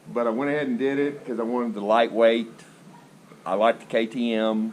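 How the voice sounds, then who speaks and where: In an ordinary speaking voice, a man with a medium pitch talks at a fairly quick pace with fairly even intonation. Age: 60s. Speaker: motorcycle rider. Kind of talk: interview.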